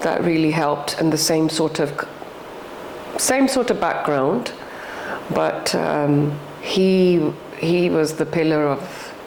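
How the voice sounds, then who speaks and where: The speech moves at a very slow pace with long, frequent pauses and ordinary pitch variation, heard through audible room echo and noticeable background noise. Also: woman. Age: 60s. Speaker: podcast guest, widowed mother. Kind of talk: personal interview conversation. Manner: halting, with false starts.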